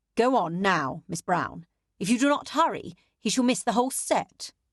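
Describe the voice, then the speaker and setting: A woman performs a put-on character voice, growling at a medium pitch with very wide pitch swings at a moderate pace. The sound is dry and close with no echo, over a quiet background. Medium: read story. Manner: clipped, controlled.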